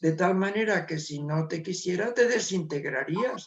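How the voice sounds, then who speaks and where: Fairly slowly, a man talks at a high pitch with ordinary pitch variation. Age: 70s. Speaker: spiritual author and meditation teacher. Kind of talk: interview.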